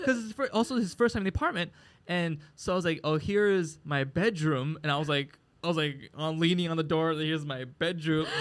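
A man with an American accent has an unremarkable speaking voice at a fairly high pitch. He talks at a fairly quick pace with ordinary pitch variation. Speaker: comedian and podcast co-host. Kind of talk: casual chat. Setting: live recording at a market venue.

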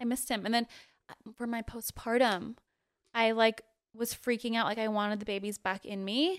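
In an ordinary speaking voice, a woman talks at a moderate pace with a fairly high pitch and fairly even intonation, the sound dry and close with no echo. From Utah, moved from Guam at about six. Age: 30s. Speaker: model. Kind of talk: casual chat.

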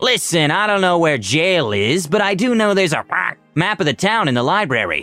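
A man's high, put-on character voice at a moderate pace with hardly any pauses and faint music in the background. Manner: helpful, kind.

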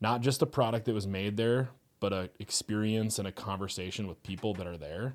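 A man talks with an Upper Midwest accent at a fairly low pitch, using ordinary pitch variation. The recording is very clean, with a silent background. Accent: Upper Midwest American. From US Upper Midwest (Fargo-Moorhead). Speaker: brewery co-founder. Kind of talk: interview conversation.

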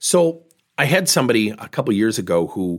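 On a very clean recording with a silent background, a man with a fairly low pitch speaks at a moderate pace in an energetic tone with lively intonation. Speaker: business coach podcast host. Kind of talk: monologue podcast episode with coaching advice. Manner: direct, energetic.

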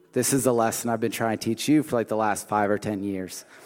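This is a plain, everyday voice: a man at medium pitch with ordinary pitch variation. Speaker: church apprentice preacher. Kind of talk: sermon. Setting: stage with audience.

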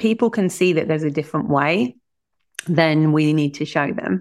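A woman with a southern English accent, very deep and low, lively in intonation at a moderate pace, on a very clean recording with a silent background. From England. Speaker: business strategist. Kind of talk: interview.

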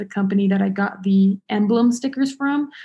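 A woman with an American accent speaks at a moderate pace in a somewhat breathy voice with a dark, mellow tone. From Nevada (Las Vegas). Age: 20s. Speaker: student. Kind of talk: casual chat.

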